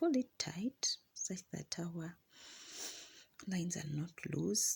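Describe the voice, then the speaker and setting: With a non-native accent, a woman talks at a very slow pace in a fairly low, somewhat breathy voice. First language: not English. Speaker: crochet instructor. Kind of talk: tutorial. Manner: halting.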